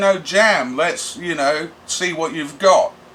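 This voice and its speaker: Over noticeable background noise, a man with an English accent speaks at a fairly slow pace in a high voice. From England, Bedford area. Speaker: punk vocalist and drummer. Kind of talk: casual interview monologue.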